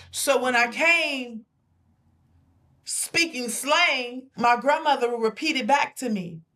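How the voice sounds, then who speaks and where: A woman uses a raised, projected voice at a high pitch with ordinary pitch variation. She speaks at a very slow pace, with long, frequent pauses. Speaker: talk show co-host. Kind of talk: casual chat.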